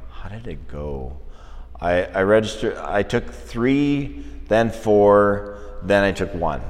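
A man with a Canadian accent, speaking at a very slow pace. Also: big swings in loudness. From northern Alberta, Canada. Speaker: visual artist. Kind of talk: casual interview. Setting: art gallery.

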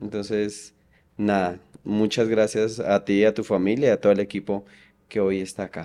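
At a moderate pace, a man with a dark, mellow tone and fairly low pitch speaks in monotone, flat intonation, captured in a very clean recording with a silent background. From Colombia, Boyacá. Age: 30s. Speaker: oncology nurse. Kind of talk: interview conversation.

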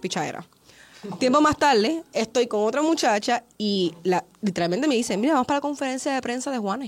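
Fairly quick and with lively intonation, a woman speaks at a high pitch in a Puerto Rican accent. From Puerto Rico. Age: young. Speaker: interviewer and filmmaker. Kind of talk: casual interview. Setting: studio.

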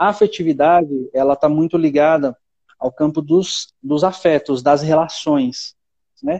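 A man speaks at a fairly slow pace with fairly even intonation and a fairly high pitch. He has a normal speaking voice. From Brazil, São Paulo city. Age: 20s. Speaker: seminarian, former missionary. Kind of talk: casual chat.

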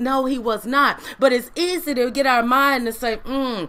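A woman's high, bright and sharp voice, animated in tone, at a moderate pace. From US South, Mississippi Delta. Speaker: online preacher / inspirational speaker. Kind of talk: livestream sermon.

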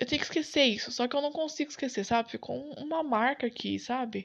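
The background is quiet. A woman talks in a high voice with ordinary pitch variation. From São Paulo, Brazil (east zone). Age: 20s. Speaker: podcaster. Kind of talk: unscripted solo monologue. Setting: home bedroom. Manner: casual, slangy.

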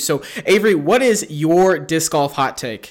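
A man talks at a fairly high pitch with an American accent. His tone is bright and sharp. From Kansas. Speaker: podcast host. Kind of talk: casual interview.

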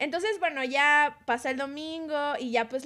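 This woman has a high pitch. She talks at a moderate pace. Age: 30s. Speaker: podcast co-host. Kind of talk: casual chat.

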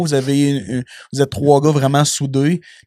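On a very clean recording with a silent background, a man speaks with a Quebec accent. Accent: Québécois French. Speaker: podcast host. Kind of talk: casual chat.

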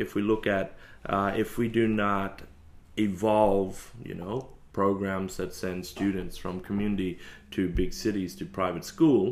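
This man has an Australian accent and a fairly low pitch. He talks at a fairly slow pace with ordinary pitch variation. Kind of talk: casual interview chat. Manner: hesitant with many fillers.

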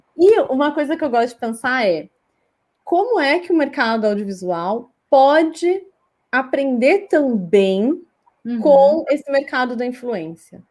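High-pitched woman's voice with very wide pitch swings. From Brazil, Cuiabá, Mato Grosso. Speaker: communication researcher and journalist. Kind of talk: interview. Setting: live stream.

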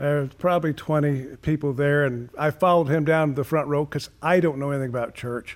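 A man's fairly high-pitched, fairly quick delivery with fairly even intonation, an ordinary speaking voice. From moved across many US states as a child. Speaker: retired pastor. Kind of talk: casual chat.

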